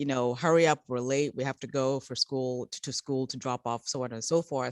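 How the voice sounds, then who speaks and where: A woman talking at a very fast pace, with a dry, close sound, no echo, and a very clean recording over a silent background. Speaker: children's book publisher. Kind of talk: interview. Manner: halting, many repetitions.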